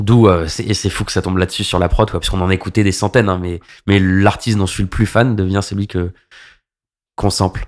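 Very fast and monotone, a man speaks at a fairly low pitch with flat intonation in a very clean recording with a silent background. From Paris suburbs, Val-d'Oise (95). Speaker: club DJ. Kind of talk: casual interview.

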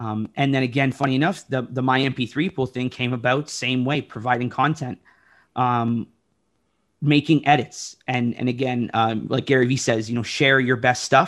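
A man's medium-pitched voice with a Toronto accent, at a moderate pace. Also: fairly even intonation. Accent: Canadian English (Toronto area). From Oshawa, Ontario, Canada. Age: 30s. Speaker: DJ. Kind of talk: casual chat. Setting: video call.

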